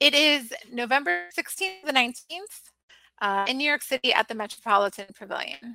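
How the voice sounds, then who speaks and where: Over background music, a woman speaks at a fairly quick pace with a high pitch and very wide pitch swings, the sound dry and close with no echo. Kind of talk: podcast interview.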